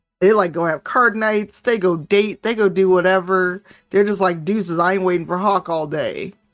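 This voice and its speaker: Music plays behind a woman's voice. She speaks at a moderate pace with fairly even intonation. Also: medium pitch for a woman. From Chicago, US Midwest. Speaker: tabletop game player and streamer. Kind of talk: casual chat.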